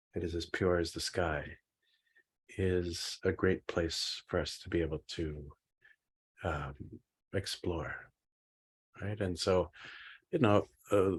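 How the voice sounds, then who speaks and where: Against a quiet background, a man with a very deep, low, somewhat breathy voice speaks very slowly with fairly even intonation and long, frequent pauses. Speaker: Buddhist meditation teacher. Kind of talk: dharma teaching class. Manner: halting with many fillers.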